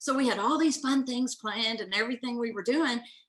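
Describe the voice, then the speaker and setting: Bright, sharp, fairly high woman's voice in a Southern US accent, at a fairly quick pace. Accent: Southern twang. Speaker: business owner. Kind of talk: interview. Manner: animated.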